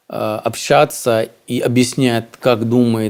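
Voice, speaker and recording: A man's medium-pitched voice at a very slow pace. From India. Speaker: businessman. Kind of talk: interview. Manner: hesitant, many fillers.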